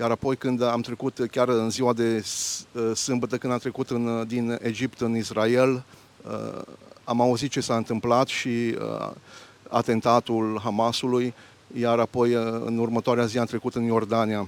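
The delivery is monotone and flat at a fairly slow pace, in a dry, close sound with no echo. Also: man, medium pitch for a man. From Romania, Arad. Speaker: church deacon. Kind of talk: interview. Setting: outdoors.

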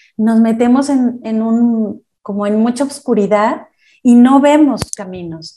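A woman's fairly high voice, fairly slow and calm in tone, with ordinary pitch variation. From Mexico. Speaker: life coach. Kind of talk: interview.

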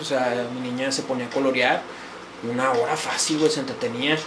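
With fairly even intonation and a moderate pace, a man talks through noticeable background noise and audible room echo. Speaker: podcast guest. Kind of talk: casual chat. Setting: small home studio.

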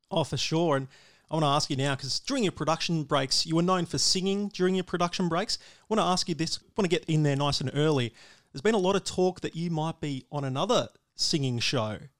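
A man's fairly high voice with an Australian accent, very fast pace and ordinary pitch variation, on a very clean recording with a silent background and a dry, close sound with no echo. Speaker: motorsport radio host. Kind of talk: casual interview; quiz game hosting.

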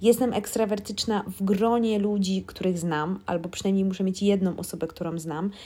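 Over noticeable background noise, a woman talks at a moderate pace with hardly any pauses, at a medium pitch and with fairly even intonation. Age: 30s. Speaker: podcast host. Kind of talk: casual monologue.

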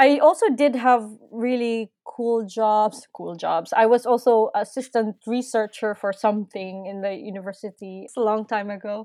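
A woman's fairly high voice with a Filipino accent, moderate in pace with hardly any pauses, fairly even in intonation but with big swings in loudness, on a very clean recording with a silent background. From Philippines. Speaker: nurse and musician. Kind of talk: casual interview.

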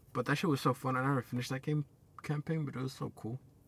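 The speaker sounds somewhat breathy. The pace is very fast. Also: man. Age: 20s. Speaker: podcast co-host. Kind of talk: casual chat.

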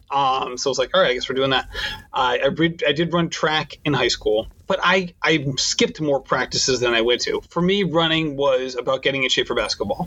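Against noticeable background noise, a man with a fairly high pitch talks at a fairly quick pace, keeping his loudness very even and his pitch varying in an ordinary way. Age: 40s. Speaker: running podcast host. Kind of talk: interview.

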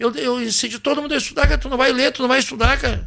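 A man talks at a very fast pace. His pitch is extremely high. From Rio Grande do Sul, Brazil (Santa Cruz do Sul). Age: 50s. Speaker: singer and band leader. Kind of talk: casual chat.

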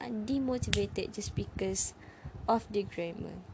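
A woman with a non-native accent speaks over noticeable background noise. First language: not English. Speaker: English learner podcaster. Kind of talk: solo talk monologue. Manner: halting, many fillers.

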